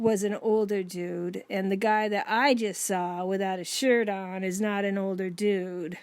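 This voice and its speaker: Audible room echo surrounds the voice. It moves at a fairly slow pace with fairly even intonation. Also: woman, medium pitch for a woman, hardly any pauses. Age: 60s. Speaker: podcast co-host with Alzheimer's. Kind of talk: casual chat.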